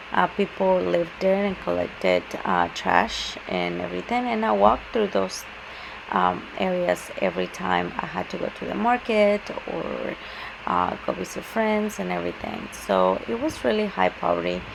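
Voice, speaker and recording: Noticeable background noise sits behind this woman's voice. She speaks at a moderate pace with a Spanish accent. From Mexico City, Mexico. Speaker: student presenter. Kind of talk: class presentation. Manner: halting, many fillers.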